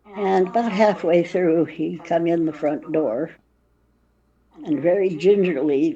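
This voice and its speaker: Pausing long and often, a woman speaks at a fairly slow pace in a fairly low pitch with ordinary pitch variation and a dark, mellow tone. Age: 70s. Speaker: high priestess, witch. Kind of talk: interview answer. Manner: casual, storytelling.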